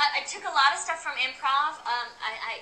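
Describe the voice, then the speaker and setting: With an upbeat tone, a woman speaks at a fairly slow pace. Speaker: comedian. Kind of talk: interview answer. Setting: live audience.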